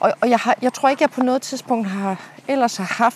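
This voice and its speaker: Over noticeable background noise, a woman talks at a moderate pace with lively intonation, the sound dry and close with no echo. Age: 40s. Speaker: podcast host and leadership coach. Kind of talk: casual chat. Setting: outdoors.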